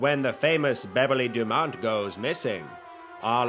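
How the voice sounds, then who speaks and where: With music in the background, a man talks at a fairly slow pace and a medium pitch, his intonation lively. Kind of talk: movie trailer.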